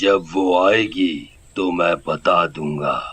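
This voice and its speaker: A man puts on a cartoonish character voice, raspy and very deep, low in pitch. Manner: curt, unfriendly.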